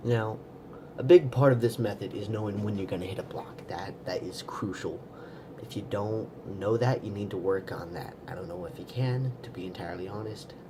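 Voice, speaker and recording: Audible room echo surrounds the speaker. He is a man with a fairly low pitch. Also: ordinary pitch variation, moderate pace. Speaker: video blogger teaching a stutter technique. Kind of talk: casual tutorial monologue. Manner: hesitant, with fillers and repeats.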